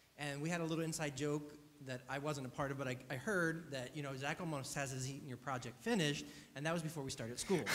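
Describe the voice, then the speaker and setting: Speaking at a very fast pace, a man keeps his fairly high pitch in fairly even intonation. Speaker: student project advisor. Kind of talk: feedback to a student.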